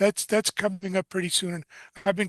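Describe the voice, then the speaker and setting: A man speaks with a New York accent at a high pitch. The sound is dry and close, with no echo. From New York City. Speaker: combat sports journalist and co-host. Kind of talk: interview show commentary.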